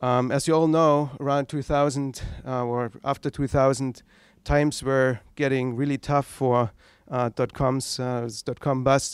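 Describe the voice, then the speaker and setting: A man with a German accent speaks at a fairly slow pace and medium pitch with monotone, flat intonation, in a very clean recording with a silent background and a dry, close sound with no echo. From East Germany. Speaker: tech entrepreneur, founder. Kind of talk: lecture. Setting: stage with audience.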